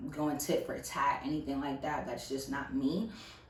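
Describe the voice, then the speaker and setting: A woman with a very deep, low pitch talks at a fairly slow pace amid audible room echo. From US South. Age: 20s. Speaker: YouTuber. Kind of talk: casual vlog monologue. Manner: animated.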